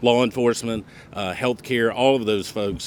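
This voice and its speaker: A man with a Southern US accent speaks at a medium pitch with ordinary variation. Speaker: board chair. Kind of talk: ceremony speech.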